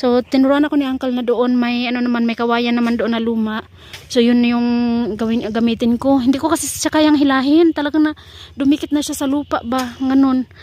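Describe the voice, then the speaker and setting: A woman with a high pitch speaks at a fairly quick pace with fairly even intonation. Noticeable background noise is present. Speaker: gardening vlogger. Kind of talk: casual vlog narration. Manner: loud; fast.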